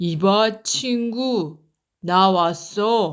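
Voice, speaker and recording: A woman's put-on character voice at a medium pitch. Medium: read story. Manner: cocky, playful.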